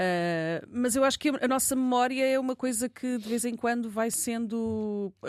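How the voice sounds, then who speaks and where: A woman with a plain, everyday voice, at a moderate pace with ordinary pitch variation, against a quiet background. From Lisbon area, Margem Sul. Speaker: journalist and podcaster. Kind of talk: casual chat. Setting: studio.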